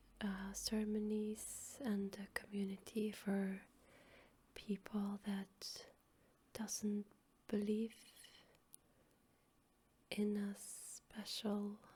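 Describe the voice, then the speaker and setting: Soft-spoken and relaxed in tone, the speaker goes at a very slow pace with long, frequent pauses. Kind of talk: ASMR soft-spoken storytelling and rambling for sleep. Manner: soft-spoken, relaxed.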